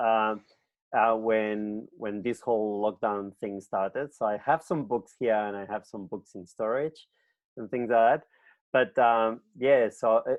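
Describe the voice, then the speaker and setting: A plain, everyday voice from a man at medium pitch, fairly slow pace and fairly even intonation, with big swings in loudness. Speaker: librarian, interview host. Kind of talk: interview questions.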